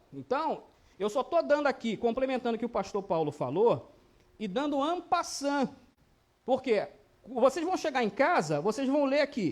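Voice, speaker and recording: Long, frequent pauses appear throughout. Between them, speech moves at a moderate pace. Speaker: Bible teacher. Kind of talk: Bible study lesson.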